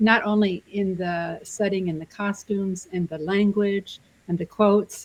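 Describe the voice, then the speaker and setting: Her voice is somewhat breathy and medium in pitch. The woman keeps a fairly even intonation. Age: 60s. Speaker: discussion club member. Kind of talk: group discussion.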